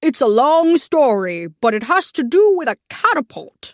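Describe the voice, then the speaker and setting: Using a put-on character voice, a woman speaks at a high pitch with very wide pitch swings. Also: moderate pace. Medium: read story.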